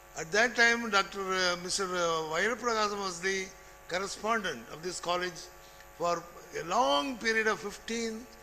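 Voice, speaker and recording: This man's voice is raised and projected, pitched high. His tone is bright and sharp. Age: 80s+. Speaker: retired college administrator and lecturer. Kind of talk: speech.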